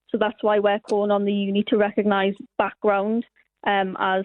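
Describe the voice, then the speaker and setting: A woman in a northern English accent, fairly quick pace, monotone, flat intonation. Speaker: university student. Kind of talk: radio interview.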